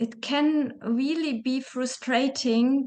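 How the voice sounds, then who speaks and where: Woman's high voice at a very slow pace, fairly even intonation. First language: German. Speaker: interview host. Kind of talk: interview conversation.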